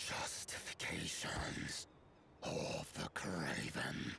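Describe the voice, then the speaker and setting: A gravelly, growling put-on character voice at a very slow pace, over clear background noise. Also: man. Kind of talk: dramatic game dialogue. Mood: stern, proud, resentful.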